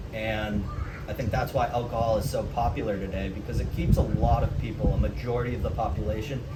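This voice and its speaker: Fairly quick speech from a man, with noticeable background noise and audible room echo. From US Northeast (Massachusetts). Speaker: vlogger. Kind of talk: casual vlog monologue.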